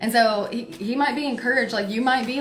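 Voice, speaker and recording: Room echo can be heard as a woman keeps her intonation fairly even. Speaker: tarot reader. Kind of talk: live tarot reading. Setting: livestream. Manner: forceful; loud.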